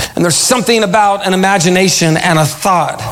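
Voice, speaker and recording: Over music in the background, a man with a high voice speaks with ordinary pitch variation. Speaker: pastor. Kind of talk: sermon. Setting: church. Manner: animated; call-and-response.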